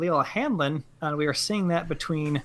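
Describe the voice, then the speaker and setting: The speaker has an American accent and a moderate pace. The recording is very clean, with a silent background. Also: man. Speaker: game commentator. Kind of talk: live commentary.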